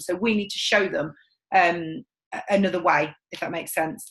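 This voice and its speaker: A woman speaks in a passionate, confident tone with ordinary pitch variation. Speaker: sales team trainer. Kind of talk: training session. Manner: loud and confident.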